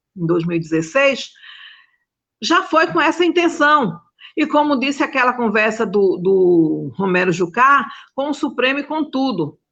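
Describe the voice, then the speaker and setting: Speaking at a fairly slow pace, a woman with a high pitch makes very wide pitch swings. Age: 60s. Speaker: domestic workers' union leader. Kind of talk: panel talk on video call.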